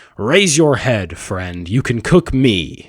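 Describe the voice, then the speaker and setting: This man speaks at a medium pitch. He performs in a put-on character voice. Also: very slow pace. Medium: solo performance. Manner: pointed, proud.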